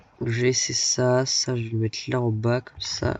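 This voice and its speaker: The intonation is monotone and flat. A man delivers it at a medium pitch. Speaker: gaming YouTuber. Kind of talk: let's play commentary. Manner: casual, hesitant with fillers.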